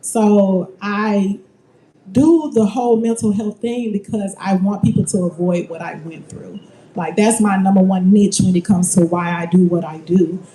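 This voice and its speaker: A woman speaks at a moderate pace with big swings in loudness, over noticeable background noise. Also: medium pitch for a woman, ordinary pitch variation. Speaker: mental health advocate panelist. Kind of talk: panel discussion.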